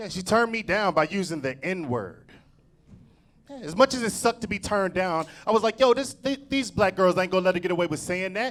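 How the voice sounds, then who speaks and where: A man's high-pitched, animated voice with lively intonation at a fairly quick pace. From Cincinnati, Ohio, US Midwest. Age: 40s. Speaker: stand-up comedian. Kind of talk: stand-up. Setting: stage with audience.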